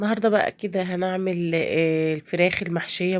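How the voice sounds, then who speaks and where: The pace is moderate, and a woman speaks with ordinary pitch variation. The recording is very clean, with a silent background. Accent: Egyptian. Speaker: home cook. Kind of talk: cooking tutorial. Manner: casual, hesitant with fillers.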